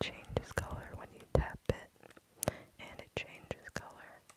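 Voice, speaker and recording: A whispering voice moves at a fairly slow pace. Noticeable background noise accompanies it. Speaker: ASMR streamer. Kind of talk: ASMR live stream chat. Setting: dark room, live stream.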